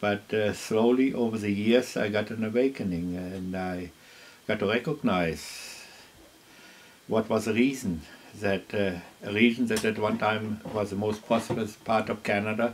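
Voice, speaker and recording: With a German accent, a man speaks at a moderate pace in a fairly low pitch, keeping his intonation fairly even. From Germany. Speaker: farmer. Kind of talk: interview. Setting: at his home. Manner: halting with frequent fillers.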